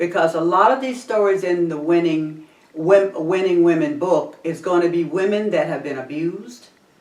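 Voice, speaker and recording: With noticeable background noise, a woman talks at a moderate pace in a fairly low voice with lively intonation. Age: 60s. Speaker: talk show host. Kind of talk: casual chat.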